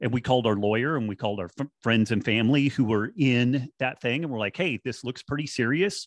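A man with an unremarkable speaking voice and ordinary pitch variation. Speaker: podcast guest. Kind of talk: casual chat.

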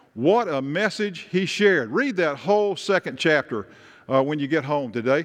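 A man with a Tennessee accent talks at a fairly quick pace, his fairly high voice carrying lively intonation. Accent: Southern US (Tennessee). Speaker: pastor. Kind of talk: sermon.

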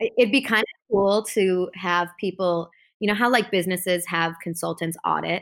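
A woman with an American accent has an ordinary speaking voice at a medium pitch with ordinary pitch variation. She speaks at a moderate pace in a very clean recording with a silent background. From US Midwest, Chicago northern suburbs. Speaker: TV host and correspondent. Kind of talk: casual interview chat.

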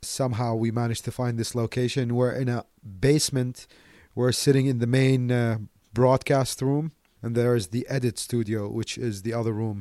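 A man's medium-pitched voice at a moderate pace, dark and mellow in tone, with monotone, flat intonation. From Iraq and Delhi, India. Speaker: online radio station founder and DJ. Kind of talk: casual interview. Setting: radio studio in a basement.

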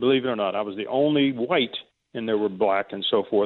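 An American accent at a very fast pace, with ordinary pitch variation. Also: man. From US Midwest, near Cleveland, Ohio. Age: 70s. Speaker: caller. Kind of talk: call-in talk. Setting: phone call.

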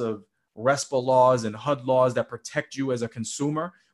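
The speaker talks at a moderate pace with an American accent and a monotone, flat intonation. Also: man. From Boston. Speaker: real estate investor and author. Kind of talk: interview. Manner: halting.

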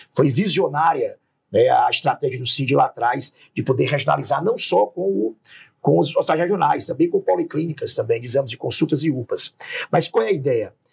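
Recorded with a dry, close sound and no echo, a man talks at a moderate pace. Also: very even loudness. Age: 40s. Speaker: politician, gubernatorial candidate. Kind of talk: political interview.

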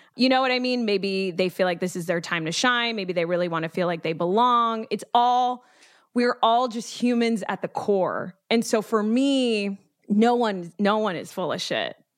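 A woman with an American accent uses a normal speaking voice at a moderate pace. Her pitch sits fairly high, with ordinary variation. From Dominican heritage, US. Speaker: former reality TV producer. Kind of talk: casual interview chat. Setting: remote call.

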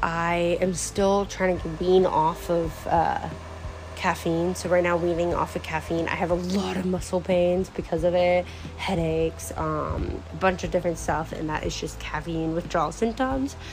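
Audible room echo and noticeable background noise surround a woman speaking at a moderate pace. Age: 19. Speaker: solo podcaster. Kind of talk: casual monologue.

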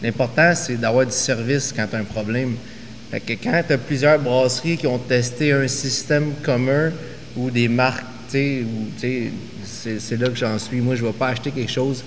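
A man speaks at a fairly slow pace, medium in pitch, with fairly even intonation. Audible room echo and noticeable background noise surround him. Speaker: craft brewery and distillery co-owner. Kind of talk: casual chat.

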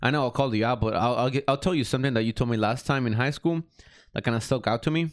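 A man speaks at a very fast clip with ordinary pitch variation. The recording is very clean, with a silent background. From northern Mexico, then Dallas-Fort Worth area. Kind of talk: casual chat.

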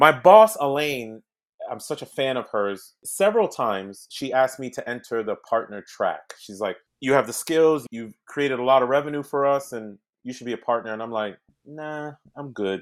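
Over a silent background on a very clean recording, a man talks at a moderate pace with lively intonation and big swings in loudness. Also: medium pitch for a man. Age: 40s. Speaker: former federal agent and tech executive turned real estate investor. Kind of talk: interview. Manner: animated.

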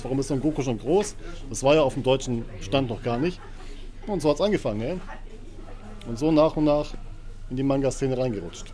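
A man's fairly high-pitched voice at a moderate pace amid noticeable background noise. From Göppingen, Swabia, Germany. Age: 30s. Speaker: social media creator. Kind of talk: casual chat. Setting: bookstore.

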